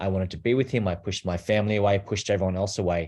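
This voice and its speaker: With an Australian accent, a man talks at a fairly quick pace and fairly low pitch with ordinary pitch variation, recorded very cleanly against a silent background. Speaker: abuse survivor and advocate. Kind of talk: personal testimony.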